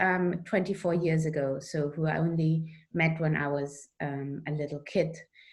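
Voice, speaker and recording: With an Austrian accent, a woman speaks at a fairly slow pace. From Austria, Vienna. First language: German. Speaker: author. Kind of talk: interview.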